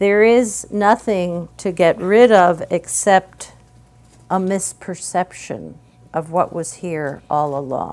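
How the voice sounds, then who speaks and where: The woman's pitch is medium with ordinary variation, and she talks at a very slow pace. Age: 70s. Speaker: meditation teacher. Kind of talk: guided meditation and dharma talk. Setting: meditation hall with group.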